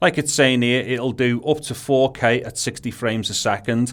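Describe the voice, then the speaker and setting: This man has a strong Scouse accent and a medium pitch. He talks at a fairly quick pace. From Liverpool, England. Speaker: tech video creator. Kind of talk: unboxing tutorial. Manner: casual, with hesitations.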